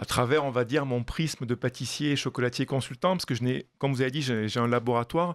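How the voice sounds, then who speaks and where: Speaking in a Toulouse accent at a very fast pace with hardly any pauses, a man holds a medium pitch and fairly even intonation. The sound is dry and close with no echo, on a very clean recording with a silent background. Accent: southern French (Toulouse). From southwestern France, Toulouse. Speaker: pastry chef and chocolatier consultant. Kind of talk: radio interview. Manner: hesitant, many fillers.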